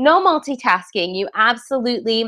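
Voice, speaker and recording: A woman's high-pitched voice with lively intonation against a quiet background. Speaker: webinar presenter and online marketing coach. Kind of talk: live webinar presentation. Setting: live online webinar broadcast. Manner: fast.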